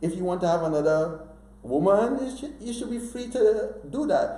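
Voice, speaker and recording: The voice has a dark, mellow tone with vocal fry at a moderate pace. Audible room echo surrounds it. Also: man. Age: 60s. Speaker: author. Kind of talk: interview. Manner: animated.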